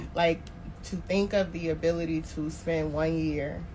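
Speaking at a fairly slow pace, a woman comes through with audible room echo and noticeable background noise. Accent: American. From Tallahassee, Florida. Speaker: marketing consultant on sabbatical. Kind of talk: casual chat.

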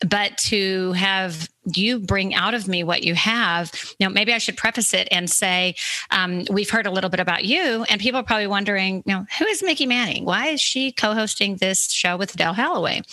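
A woman speaks with an unremarkable speaking voice at medium pitch and a moderate pace. Her loudness stays very even, and her pitch variation is ordinary. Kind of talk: casual chat.

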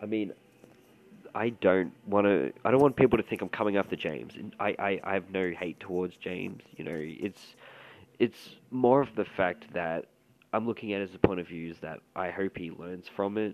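Fairly low male voice with an Australian accent, moderate pace, ordinary pitch variation, and big swings in loudness over a quiet background. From Australia, Melbourne. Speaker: commentary podcaster. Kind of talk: casual commentary.

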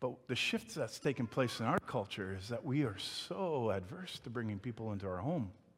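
A man with a medium pitch and a somewhat breathy voice talks at a fairly quick pace on a very clean recording with a silent background. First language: not English. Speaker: pastor. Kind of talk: sermon. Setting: church with congregation. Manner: stuttering at times.

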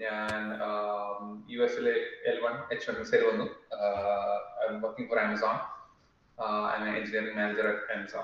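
There is noticeable background noise in the clip. Through it, a man talks at a moderate pace. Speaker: podcast co-host, engineering manager. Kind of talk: casual interview.

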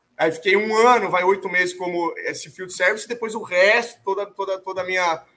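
The voice is raised and projected, with a bright, sharp tone and fairly even intonation. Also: man. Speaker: lab owner and mass spectrometry specialist. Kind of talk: casual interview.

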